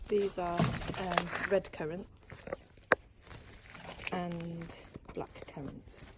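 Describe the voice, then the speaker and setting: A woman with a British accent speaks quietly at a fairly low pitch, her intonation fairly even, with noticeable background noise. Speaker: crochet vlogger. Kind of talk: casual vlog walkthrough. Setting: outdoors in garden. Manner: talking quietly.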